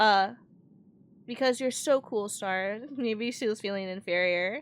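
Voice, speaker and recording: Soft-spoken, a woman talks at a fairly slow pace. Her pitch is fairly high and varies in an ordinary way. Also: very clean recording, silent background. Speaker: vtuber streamer. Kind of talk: casual chat.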